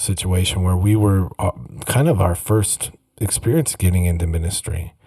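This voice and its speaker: With a Minnesota accent, a man speaks in a very deep, low pitch. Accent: Minnesota upper Midwest. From US upper Midwest, Minnesota. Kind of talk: casual monologue. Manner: halting, many repeats and fillers.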